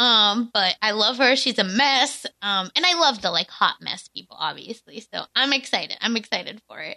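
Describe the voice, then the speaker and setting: A woman speaks at a moderate pace in a normal speaking voice with a fairly high pitch, big swings in loudness and hardly any pauses, in a dry, close sound with no echo. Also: lively intonation. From India, moved to US. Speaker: guest, former reality TV cast member. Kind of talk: casual chat.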